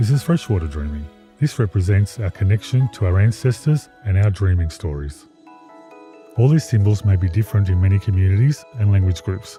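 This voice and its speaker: Over music in the background, a man speaks at a fairly quick pace, his fairly low voice carrying lively intonation. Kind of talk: explainer narration.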